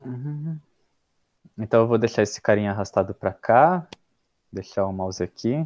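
Against a quiet background, a man speaks with lively intonation and long, frequent pauses, the sound dry with no echo. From Brazil. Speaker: data scientist and course instructor; course instructor. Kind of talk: scripted narration; casual chat. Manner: paused, deliberate delivery. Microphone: video call.

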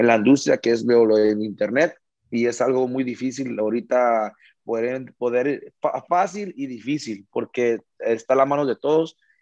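A man with a medium-pitched voice and a dark, mellow tone speaks with ordinary pitch variation. The sound is dry with no echo, over a quiet background. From United States. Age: 20s. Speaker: regional Mexican singer; interviewee. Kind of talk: interview. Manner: halting, many repeated words. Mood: grateful, humble. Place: home room. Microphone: video call.

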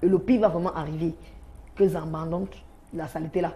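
Somewhat breathy, with a dark, mellow tone, a woman speaks at a fairly quick pace and a fairly low pitch. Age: 20s. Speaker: sex worker; talk show guest. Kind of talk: testimony. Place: studio. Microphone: lapel.

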